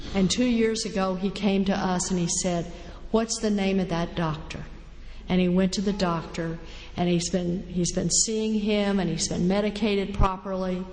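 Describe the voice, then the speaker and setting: Someone with an American accent talks at a moderate pace in a monotone, flat voice, with audible room echo and noticeable background noise. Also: woman, medium pitch for a woman. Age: 60s. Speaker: recovering alcoholic speaker. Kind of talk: recovery testimony talk.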